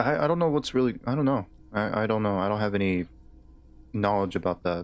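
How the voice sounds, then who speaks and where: Talking at a very fast pace, a man with an American accent uses a fairly low pitch and lively intonation. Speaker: streamer playing a video game. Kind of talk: casual chat. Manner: halting.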